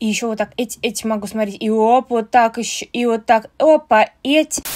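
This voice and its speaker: Loudness swings widely as a woman speaks at a moderate pace with hardly any pauses. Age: 20s. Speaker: video blogger. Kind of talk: personal vlog monologue. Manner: casual, with swearing. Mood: sad, confessional.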